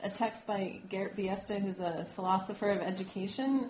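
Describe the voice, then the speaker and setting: Somewhat breathy speech moves at a moderate pace, with audible room echo. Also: woman. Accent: American. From New Mexico, US. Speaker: education professor. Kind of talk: interview.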